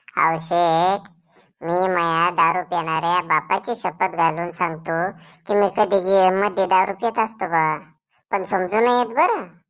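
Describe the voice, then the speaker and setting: In a very clean recording with a silent background, a woman uses a cartoonish character voice at a medium pitch, speaking at a fairly slow pace with fairly even intonation. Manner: rustic, simple-minded.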